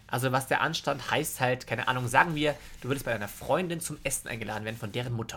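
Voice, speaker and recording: A loud man's voice at medium pitch with a bright, sharp tone, ordinary pitch variation and a very fast pace. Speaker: podcast co-host. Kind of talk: casual chat.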